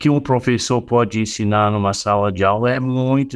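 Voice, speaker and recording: A man speaks at a moderate pace with a non-native accent and ordinary pitch variation. The background is quiet. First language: not Portuguese (speaking Portuguese). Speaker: author and meditation teacher. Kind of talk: interview. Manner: halting, searching for words.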